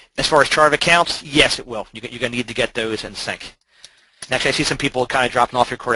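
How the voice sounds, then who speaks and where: Bright and sharp in tone, a man speaks at a very fast pace with a dry, close sound and no echo. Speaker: software trainer presenting a webinar. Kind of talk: webinar presentation. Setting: online webinar.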